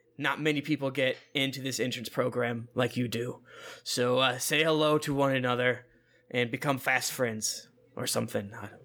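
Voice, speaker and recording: A man's raspy, put-on character voice, medium in pitch, flat and monotone, at a moderate pace. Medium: actual play. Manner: brisk, practical, friendly.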